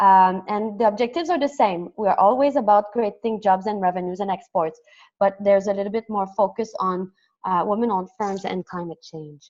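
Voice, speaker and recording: Talking at a fairly quick pace, a woman uses a French Canadian accent. Her pitch is medium with ordinary variation. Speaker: development program coordinator. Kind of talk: webinar presentation. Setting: online webinar. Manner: fast.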